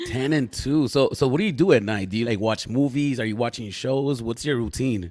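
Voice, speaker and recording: Barely pausing, a man with a medium-pitched voice talks in an animated tone. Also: ordinary pitch variation. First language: not English. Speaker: podcast host. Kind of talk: casual live-stream interview. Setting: live stream. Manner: animated, hype.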